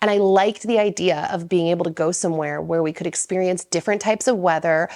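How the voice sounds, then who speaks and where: Talking at a very fast pace, a woman uses a fairly low pitch with ordinary pitch variation. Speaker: lifestyle YouTuber. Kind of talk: Q&A monologue. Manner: casual, filler-heavy.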